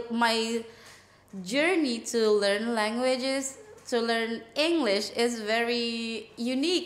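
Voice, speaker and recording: A woman with an Indonesian accent speaks at a fairly high pitch with ordinary pitch variation, and the room echo is audible. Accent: Bangka Indonesian accent in English. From Indonesia, Bangka. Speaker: English coach. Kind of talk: casual interview. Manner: hesitant, many fillers.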